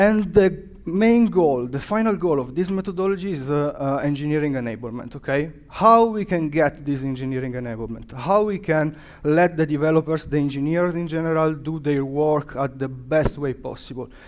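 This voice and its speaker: In an Italian accent, the speaker keeps a moderate pace with hardly any pauses. Pitch variation is ordinary. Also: man, fairly high pitch for a man. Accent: non-native English, Italian. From Italy. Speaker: developer advocate, conference speaker. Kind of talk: conference talk. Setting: stage with audience. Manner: halting, many fillers.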